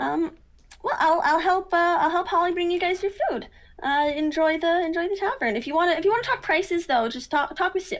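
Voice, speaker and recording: Extremely high pitch from a woman doing a put-on character voice. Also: fairly slow pace. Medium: actual play. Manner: bubbly, friendly.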